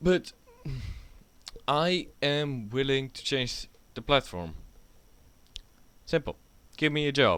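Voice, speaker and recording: Speaking very slowly with long, frequent pauses, a man with a Dutch accent uses a fairly high voice, ordinary pitch variation and big swings in loudness. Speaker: YouTuber. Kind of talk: casual rant. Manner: rambling, halting.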